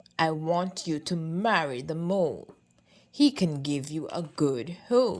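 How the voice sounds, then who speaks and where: Using a put-on character voice, a woman speaks at a fairly slow pace with a fairly low pitch. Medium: read story.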